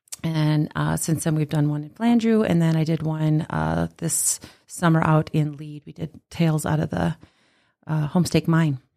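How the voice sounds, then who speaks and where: On a very clean recording with a silent background, a woman with an Upper Midwest accent speaks in a very deep, low pitch, her tone dark and mellow and her intonation fairly even. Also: moderate pace, dry, close sound with no echo. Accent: Upper Midwest American. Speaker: storytelling event organizer and teacher. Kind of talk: casual interview.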